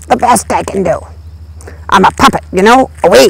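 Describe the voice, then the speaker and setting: The voice is a cartoonish character voice. Its pace is moderate. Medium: puppet. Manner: playful, wisecracking.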